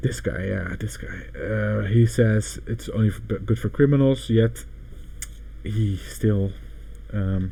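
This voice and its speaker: A man talks at a fairly slow pace. He speaks with a Dutch accent. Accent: Dutch accent, noticeable. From Netherlands. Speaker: crypto livestreamer. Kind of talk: casual livestream commentary. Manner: halting, self-correcting.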